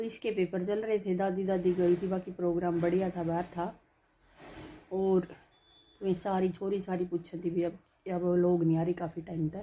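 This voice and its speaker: This woman has a fairly low pitch, a dark, mellow tone and a monotone, flat intonation. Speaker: family vlogger. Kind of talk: casual chat. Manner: relaxed, conversational.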